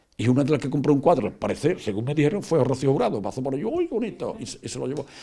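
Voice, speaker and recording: At a very fast pace, a man with a fairly high pitch and a dark, mellow tone swings very widely in pitch, with vocal fry in his voice. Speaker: painter. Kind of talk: interview. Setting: at home. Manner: halting, many repetitions and fillers.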